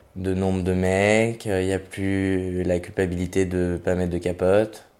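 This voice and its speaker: A man's very deep, low pitch and dark, mellow tone, fairly slow pace and flat, monotone intonation. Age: 20s. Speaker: interviewee sharing experience. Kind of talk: testimony. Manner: hesitant.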